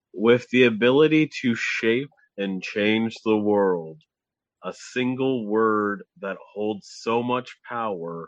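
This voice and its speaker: Putting on a booming character voice, a man speaks loudly and very slowly at a medium pitch, with ordinary pitch variation. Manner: grand, portentous.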